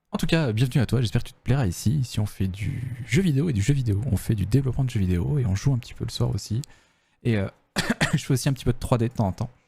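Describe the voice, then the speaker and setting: A man speaks at a very fast pace and medium pitch, somewhat breathy, with a dark, mellow tone. His pitch varies in an ordinary way while his loudness swings a lot. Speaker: game developer streamer. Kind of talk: casual livestream chat. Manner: soft-spoken.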